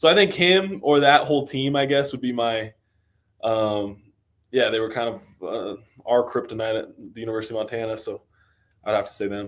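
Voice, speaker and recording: A man with an American accent at a medium pitch, fairly quick pace and lively intonation, with long, frequent pauses. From US Northwest, Coeur d'Alene, Idaho. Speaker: college football player, draft prospect. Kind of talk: podcast interview. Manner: casual, with many fillers and hesitations.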